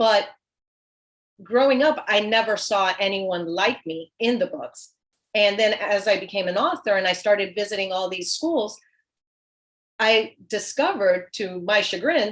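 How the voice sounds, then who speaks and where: A woman speaks at a fairly slow pace. Her speech has long, frequent pauses. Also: medium pitch for a woman, ordinary pitch variation. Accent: Spanish. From US South, small town. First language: Spanish. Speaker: children's author. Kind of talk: panel discussion.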